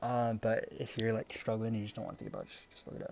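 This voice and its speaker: The voice belongs to a man, pitched in the middle range. Background music accompanies him. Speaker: gaming video creator. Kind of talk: unscripted tutorial. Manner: stuttering; casual, hesitant with fillers.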